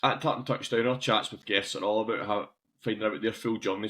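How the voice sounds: A man talks at a fast pace with fairly low pitch. His tone is fairly bright, with a slightly husky edge.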